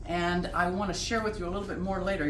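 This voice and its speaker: A woman speaks with audible room echo. Noticeable background noise runs underneath. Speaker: home cook hosting a cooking show. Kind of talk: cooking tutorial. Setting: home kitchen. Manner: casual, chatty.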